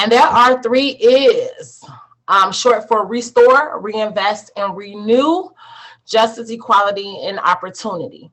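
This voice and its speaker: The delivery comes at a fairly slow pace with ordinary pitch variation. It is a normal speaking voice. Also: woman, fairly high pitch for a woman. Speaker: social services presenter. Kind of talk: online presentation.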